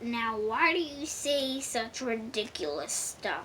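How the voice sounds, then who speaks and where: Putting on a character voice, a woman growls in a gruff, fairly high-pitched tone against clear background noise. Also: fairly slow pace. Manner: growling, gruff, indignant.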